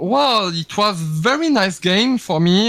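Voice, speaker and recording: In a French accent, a man with a bright, sharp tone speaks very slowly and with lively intonation, the sound dry and close with no echo. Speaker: online game player. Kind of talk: casual interview. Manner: halting.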